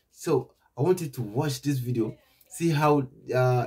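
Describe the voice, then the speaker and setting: A man's somewhat breathy voice carries lively intonation against a quiet background. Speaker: reaction channel host. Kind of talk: casual vlog chat. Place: home room.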